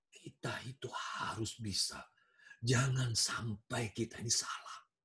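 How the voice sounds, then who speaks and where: A man speaks at a fairly slow pace in a put-on character voice, raspy, soft-spoken and breathy, whispering his lines. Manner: persuasive, intimate.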